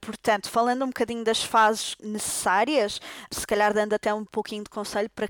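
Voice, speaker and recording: A woman speaks at a fairly quick pace with a fairly high pitch and flat, monotone intonation. The recording is dry and close, with no echo. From Portugal. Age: 30s. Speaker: doctor. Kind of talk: casual interview. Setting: at the host's home.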